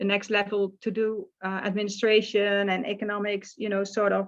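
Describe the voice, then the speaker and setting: Moderate pace and medium pitch from a woman with a Dutch accent, her intonation monotone and flat. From Netherlands, small village. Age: 60s. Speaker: life coach. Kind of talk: casual interview chat. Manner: halting, with many fillers.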